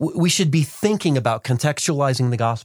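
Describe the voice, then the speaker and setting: Here a man speaks at a fairly quick pace with ordinary pitch variation, an unremarkable speaking voice. The recording is very clean, with a silent background. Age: 40s. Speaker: podcast host and missions coach. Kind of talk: podcast interview. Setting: studio.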